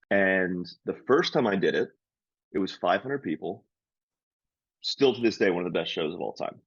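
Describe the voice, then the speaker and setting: A man with an American accent speaks at a moderate pace and a fairly low pitch, with lively intonation. He leaves long, frequent pauses. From Hagerstown, Maryland, US. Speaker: stand-up comedian and podcast co-host. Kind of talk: casual chat.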